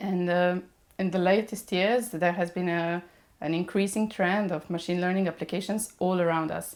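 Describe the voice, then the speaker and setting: A woman speaks in a Serbian accent at a fairly low pitch. Her pace is moderate and her intonation fairly even. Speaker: mechatronics engineer. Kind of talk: podcast interview. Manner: hesitant, many fillers.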